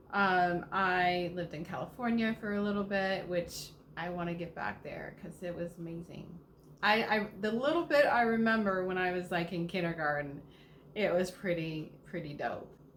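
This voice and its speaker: A woman speaks at a medium pitch. Room echo is audible, and there is noticeable background noise. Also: ordinary pitch variation, moderate pace. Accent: slight Southern US. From US South, Georgia. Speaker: lifestyle vlogger. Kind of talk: casual Q&A monologue. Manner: animated.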